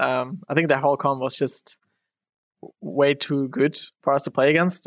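Captured dry and close with no echo on a very clean recording with a silent background, this is an unremarkable speaking voice with ordinary pitch variation. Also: man. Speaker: esports player. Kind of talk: interview.

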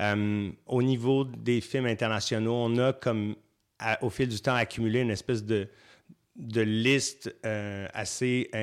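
A man talks at a very slow pace. His medium-pitched voice stays monotone and flat. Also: very clean recording, silent background. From Quebec, Saint-Hyacinthe. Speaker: festival programmer. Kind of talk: interview.

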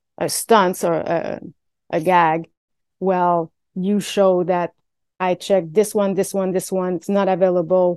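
A woman's fairly low voice at a fairly slow pace, flat and monotone, dry and close with no echo against a quiet background. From Quebec, Canada. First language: French. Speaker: stunt performer. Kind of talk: interview. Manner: halting, many fillers.

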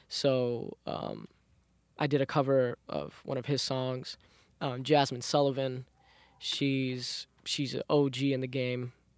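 This man's voice sits at a medium pitch, delivered at a very slow pace in a monotone, flat intonation. The recording is very clean with a silent background, and the sound is dry and close with no echo. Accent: New York. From Southside Jamaica, Queens, New York. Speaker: R&B singer. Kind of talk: interview. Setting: studio.

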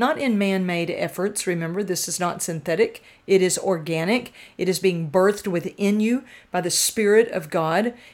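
This is a natural reading voice with ordinary pitch variation.

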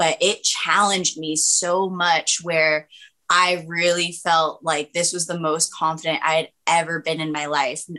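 A woman talks in a bright, sharp tone at a fairly low pitch. She goes at a fairly slow pace with monotone, flat intonation. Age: 20s. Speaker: MMA fighter. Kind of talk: casual interview.

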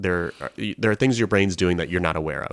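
A man with a General American accent, very deep and low-pitched, with ordinary pitch variation, on a very clean recording with a silent background. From Colorado. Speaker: podcast host, improviser. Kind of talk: casual chat.

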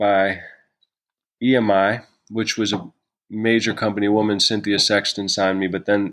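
Against a quiet background, a man with an American accent speaks at a moderate pace in a monotone, flat intonation. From New York City. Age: 30s. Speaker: musician and artist. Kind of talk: casual interview chat.

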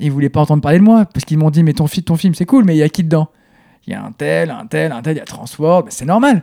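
A man with a dark, mellow tone and a fairly high pitch talks very fast, with ordinary pitch variation and a dry, close sound with no echo. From southeastern France. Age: 30s. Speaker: artist. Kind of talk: casual interview conversation. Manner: intense.

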